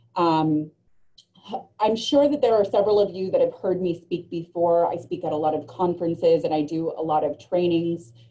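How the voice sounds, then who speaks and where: Her dark, mellow tone sits at a fairly low pitch as this woman speaks at a moderate pace with ordinary pitch variation. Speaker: reentry program lead and trainer. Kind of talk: webinar presentation. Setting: online webinar. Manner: loud; frequent filler ums.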